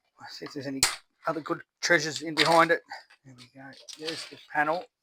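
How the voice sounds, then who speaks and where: A mumbling man with an Australian accent, very fast, fairly high-pitched and fairly even in intonation, with big swings in loudness and a dry, close sound with no echo. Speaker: scrap recycling YouTuber. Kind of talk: casual tutorial while dismantling electronics. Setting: outdoors in backyard. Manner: mumbly.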